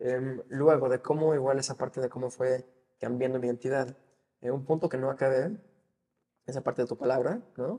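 A man talks with a dark, mellow tone at a medium pitch. His intonation stays fairly even. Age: 20s. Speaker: financial advisor. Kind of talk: interview.

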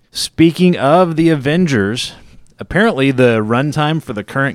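A man with a plain, everyday voice speaks at a moderate pace with lively intonation in a very clean recording with a silent background. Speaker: movie podcast host. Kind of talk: casual chat, podcast. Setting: studio.

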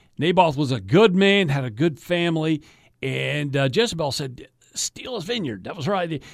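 On a very clean recording with a silent background, a man talks at a moderate pace. His fairly high voice swings very widely in pitch. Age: 50s. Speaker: radio host and state politician. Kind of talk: casual chat. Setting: studio.

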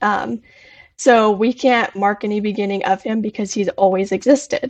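Here a woman speaks with an unremarkable speaking voice. Her pitch sits fairly high and her intonation stays fairly even. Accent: American. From Arizona. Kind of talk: biblical discussion. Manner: casual with frequent fillers.

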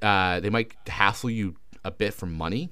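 Here is a man with a Canadian accent and a fairly low pitch. His tone is bright and sharp, with ordinary pitch variation. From Canada. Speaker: podcast co-host. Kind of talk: casual chat.

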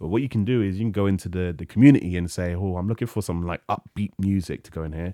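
On a very clean recording with a silent background, a man with a very deep, low pitch and a dark, mellow tone speaks at a very fast pace with hardly any pauses and big swings in loudness. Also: ordinary pitch variation. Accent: London. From North London. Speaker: streamer and comedian. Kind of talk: casual chat. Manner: frequent laughter; halting, repeats words.

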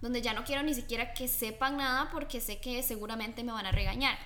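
A woman's high voice, with audible room echo and noticeable background noise. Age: young. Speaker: host's daughter. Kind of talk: religious family talk.

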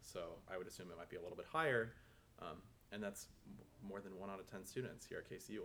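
A man with an American accent talks at a very fast pace, broken up by long, frequent pauses. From Minnesota. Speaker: medical student. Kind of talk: casual chat.

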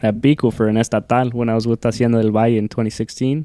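A man's medium-pitched voice with a dark, mellow tone and an American accent. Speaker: rodeo rider. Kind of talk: casual chat.

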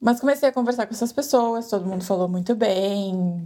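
A woman speaks at a medium pitch with a dark, mellow tone. Her pitch varies in an ordinary way. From Brazil. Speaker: emigrant interviewee. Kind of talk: interview.

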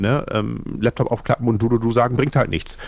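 Pitched at a medium level, a man talks at a fairly quick pace. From northern Germany (Oldenburg, Lower Saxony). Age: 30s. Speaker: social media creator, anti-bullying activist. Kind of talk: casual chat.

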